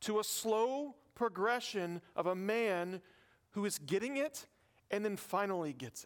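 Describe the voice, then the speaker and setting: A fairly slow pace in a Southern US accent, with big swings in loudness. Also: man, high pitch for a man, lively intonation. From US South. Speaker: pastor. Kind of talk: sermon.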